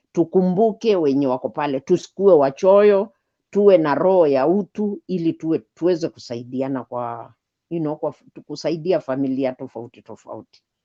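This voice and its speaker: Her pitch is very deep and low, and her intonation is lively. This woman talks at a moderate pace, with big swings in loudness. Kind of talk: casual chat. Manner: halting.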